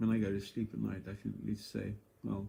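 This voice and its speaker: A man speaks in a fairly low pitch with a dark, mellow tone, a somewhat breathy quality and monotone, flat intonation. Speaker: vlogger sharing cancer experience. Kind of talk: casual monologue vlog. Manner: halting, with fillers.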